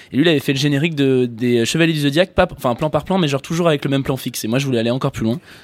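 This man talks at a very fast pace with hardly any pauses. His pitch is fairly high, with ordinary pitch variation. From France. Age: 20s. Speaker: comedian. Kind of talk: casual chat.

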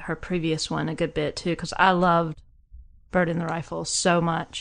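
In a Southern US accent, a woman speaks at a fairly slow pace and a fairly low pitch. Her intonation is monotone and flat against a quiet background. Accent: Southern US twang. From small southern US town. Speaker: music fan, guest. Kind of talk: casual chat.

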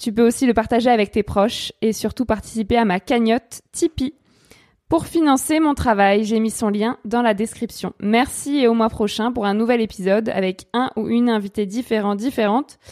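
A woman with a plain, everyday voice and a fairly high pitch is recorded with a dry, close sound and no echo. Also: ordinary pitch variation, moderate pace. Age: 20s. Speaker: podcast host and journalist. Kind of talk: scripted narration; interview.

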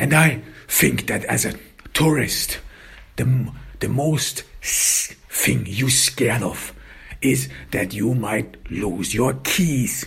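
A man's medium-pitched voice with a fairly bright tone and vocal fry, slow pace, few pauses, ordinary pitch variation and audible room echo.

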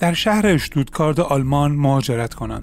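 A man's voice over noticeable background noise. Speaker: true crime podcaster. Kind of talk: true-crime narration. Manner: steady storytelling, grave and measured; fluent, formal written-style delivery.

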